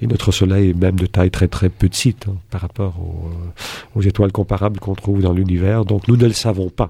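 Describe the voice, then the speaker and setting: A man with a very deep, low pitch and a dark, mellow tone speaks at a moderate pace, somewhat breathy. His intonation is monotone and flat, with hardly any pauses. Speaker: philosophy professor. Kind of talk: interview.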